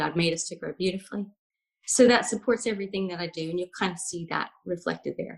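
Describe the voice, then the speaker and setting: With an American accent, a woman speaks at a fairly quick pace in a somewhat breathy, medium-pitched voice with ordinary pitch variation. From US South, Alabama. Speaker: life coach. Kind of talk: casual interview chat.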